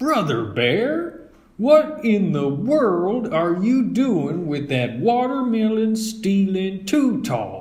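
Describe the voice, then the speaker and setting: Putting on a character voice, a man speaks high and very slowly. He barely pauses. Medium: read story. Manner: folksy.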